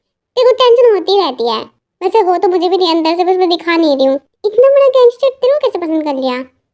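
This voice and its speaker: A woman's put-on character voice, extremely high, with very wide pitch swings at a very fast pace. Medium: read story. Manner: joking, bantering.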